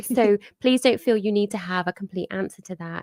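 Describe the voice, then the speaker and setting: Recorded dry and close with no echo, a woman talks with ordinary pitch variation. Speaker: clinical psychologist. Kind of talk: webinar discussion. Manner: calm.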